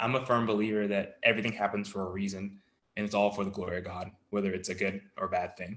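A man with an American accent, fairly low in pitch, at a very fast pace. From US South, Virginia. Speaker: professional soccer player. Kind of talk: interview.

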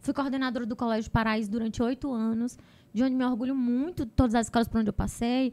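This woman's voice is high in pitch. Her delivery keeps a fairly even intonation. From Brazil, Ceará (Arneiroz). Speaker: teacher and education entrepreneur. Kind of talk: casual interview.

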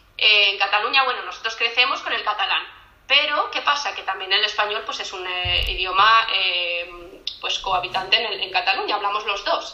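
A woman talks at a moderate pace with ordinary pitch variation. Audible room echo and noticeable background noise surround her voice. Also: medium pitch for a woman. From Catalonia, Spain (near Barcelona). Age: 30s. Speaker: podcast guest, migrant. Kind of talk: casual chat.

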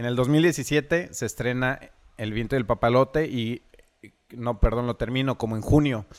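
A man with a plain, everyday voice speaks at a medium pitch and moderate pace, his intonation fairly even. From Mexico, Michoacán (Zacapu). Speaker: filmmaker. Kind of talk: casual interview.

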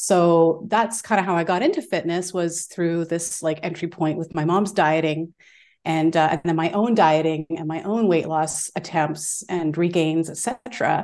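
Against a quiet background, a woman with an unremarkable speaking voice talks at a moderate pace, fairly low in pitch, with fairly even intonation. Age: 40s. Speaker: fitness educator. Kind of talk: casual chat.

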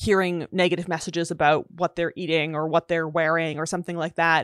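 A woman's unremarkable speaking voice with a Canadian accent, fairly low in pitch and fairly quick, in a dry, close sound with no echo over a quiet background. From Canada. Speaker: linguist and author. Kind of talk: casual interview. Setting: video call.

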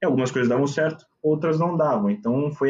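Ordinary pitch variation and a moderate pace in a normal speaking voice. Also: man. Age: 20s. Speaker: investment consultant. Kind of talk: casual chat.

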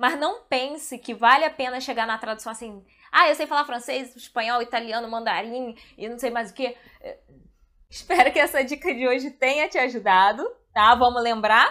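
A woman speaks at a moderate pace in a high, bright, sharp voice, with big swings in loudness and ordinary pitch variation. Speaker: translator and video creator. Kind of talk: casual video monologue. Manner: animated.

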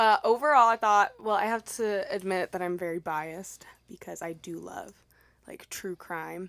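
A woman with an American accent, medium-pitched with ordinary pitch variation and big swings in loudness, on a very clean recording with a silent background. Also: moderate pace. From Texas, El Paso. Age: 20s. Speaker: podcast guest. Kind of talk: casual chat. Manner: soft-spoken.

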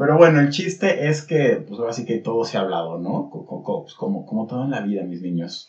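A man talks in a Mexican accent at a medium pitch. His pace is fairly quick, with very wide pitch swings. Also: hardly any pauses. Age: 30s. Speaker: podcast co-host. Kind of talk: casual chat.

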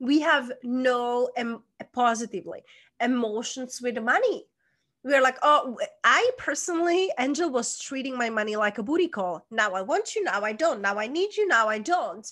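A woman's high-pitched voice with a Czech accent, animated and bright, sharp in tone, with very wide pitch swings over a quiet background. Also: moderate pace. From Czech Republic. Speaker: life coach. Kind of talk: interview.

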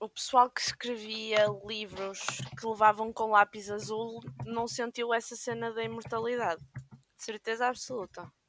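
An ordinary speaking voice from a woman, fairly high in pitch, fairly slow, with ordinary pitch variation, big swings in loudness, and a dry, close sound with no echo. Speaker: podcast co-host. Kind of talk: casual chat. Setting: video call from home.

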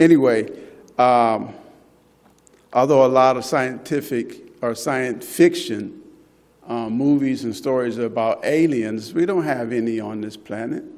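A man speaks at medium pitch in an ordinary speaking voice, with ordinary pitch variation and a fairly slow pace. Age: 60s. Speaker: lay preacher. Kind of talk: sermon. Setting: church.

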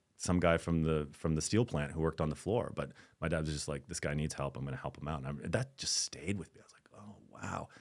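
Very deep and low in pitch, a man talks at a very fast pace with vocal fry, big swings in loudness, and ordinary pitch variation. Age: 50s. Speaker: actor. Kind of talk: casual interview.

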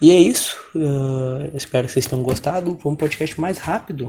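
A plain, everyday voice from a man, moderate in pace and fairly high in pitch. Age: 20s. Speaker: podcast panelist. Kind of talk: casual chat. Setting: call.

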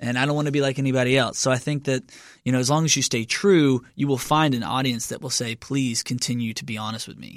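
A man in a Southern US accent talks at a very fast pace with fairly even intonation, on a very clean recording with a silent background. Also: medium pitch for a man. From Kentucky. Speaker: musician. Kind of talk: interview.

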